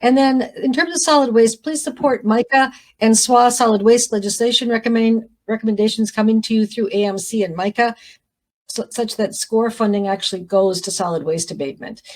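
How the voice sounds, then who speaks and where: A woman talks at a fairly quick pace. Her fairly high voice shows ordinary pitch variation. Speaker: county commissioner. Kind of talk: formal presentation of legislative priorities. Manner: fast.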